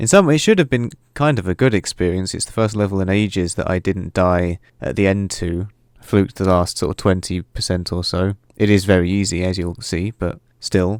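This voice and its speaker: With a British accent, a man talks at a moderate pace in a very deep, low voice with ordinary pitch variation, on a very clean recording with a silent background. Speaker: video game tutorial maker. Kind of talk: casual intro talk to camera.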